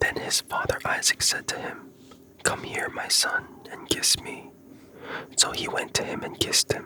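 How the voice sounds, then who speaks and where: Whispering at a moderate pace, with long, frequent pauses and noticeable background noise. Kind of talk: ASMR scripture reading for sleep. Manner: whispered.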